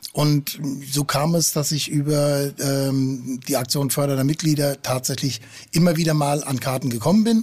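Somewhat breathy, fairly high male voice at a moderate pace. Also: ordinary pitch variation. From Frankfurt am Main. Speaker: football fan. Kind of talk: casual chat. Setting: at home on a finca.

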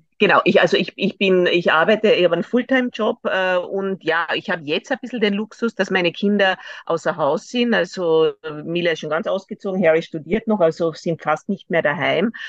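A woman speaks at a fairly quick pace and a medium pitch, with ordinary pitch variation, in a dry, close sound with no echo over a quiet background. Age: 50s. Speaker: lawyer, amateur runner. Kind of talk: interview. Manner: hesitant, many fillers.

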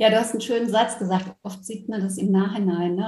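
The voice comes with monotone, flat intonation over noticeable background noise. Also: woman. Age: 40s. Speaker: former corporate manager who went through burnout. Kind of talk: interview.

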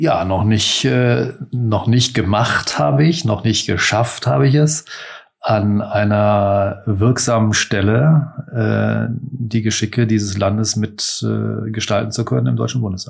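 A plain, everyday voice from a man, fairly low in pitch, fairly slow, with lively intonation. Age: 50s. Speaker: master baker, entrepreneur and parliamentary candidate. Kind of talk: interview. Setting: in-person interview at his bakery offices.

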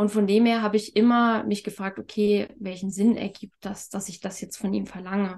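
The voice is somewhat breathy and moves at a moderate pace in a monotone, flat intonation. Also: woman. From Thuringia, eastern Germany. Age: 30s. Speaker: communication method practitioner. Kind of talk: interview.

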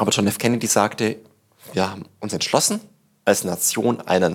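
A man speaks at fairly low pitch. His intonation stays fairly even. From Bavaria, Upper Palatinate (Tirschenreuth). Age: 30s. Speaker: startup evangelist and author. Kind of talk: interview conversation. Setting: on location at a Berlin office.

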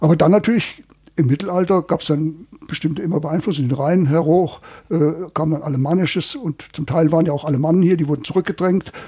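This man has a fairly high pitch and a dark, mellow tone. He talks at a fairly quick pace with ordinary pitch variation. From Hesse, Germany. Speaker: dialect researcher. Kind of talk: interview.

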